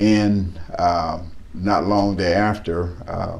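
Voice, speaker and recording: A man's very deep, low voice with an American accent and monotone, flat intonation, amid noticeable background noise and audible room echo. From East Texas. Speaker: local politician. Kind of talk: interview. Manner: halting, with frequent fillers and repetitions.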